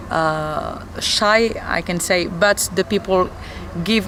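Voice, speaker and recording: A woman with a non-native accent talks over noticeable background noise. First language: not English. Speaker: metal band singer. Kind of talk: interview. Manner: halting, searching for words.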